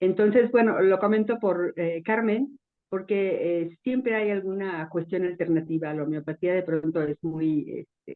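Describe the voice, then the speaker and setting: Using an ordinary speaking voice, a woman talks at a fairly slow pace in a medium pitch with ordinary pitch variation. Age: 60s. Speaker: audience participant. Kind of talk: casual testimony.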